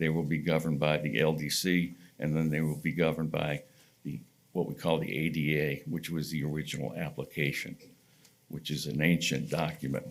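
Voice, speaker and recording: With vocal fry and fairly even intonation, a man with a very deep, low voice talks at a fairly quick pace. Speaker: applicant's representative at planning hearing. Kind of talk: presentation at public hearing. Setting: public hearing room.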